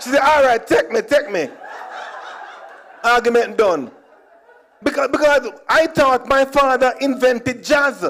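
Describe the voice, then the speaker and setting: In a Jamaican accent, a man speaks at an extremely high pitch with ordinary pitch variation and an animated tone. His pace is fairly slow, with long, frequent pauses. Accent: Jamaican, with patois. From Jamaica (Kingston, Trenchtown). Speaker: comedian. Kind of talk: stand-up.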